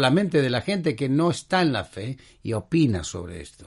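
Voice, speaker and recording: Very wide pitch swings come through against a quiet background. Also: man. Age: 70s. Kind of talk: religious talk show monologue. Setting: studio.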